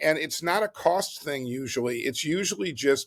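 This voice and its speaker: A man speaks in an unremarkable speaking voice at a medium pitch and a moderate pace. The recording is very clean with a silent background, and the sound is dry and close with no echo. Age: 60s. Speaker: board game company founder. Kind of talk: podcast interview.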